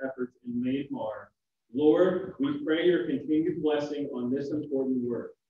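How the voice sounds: Audible room echo surrounds a man's fairly high voice with a dark, mellow tone. He speaks at a moderate pace with ordinary pitch variation.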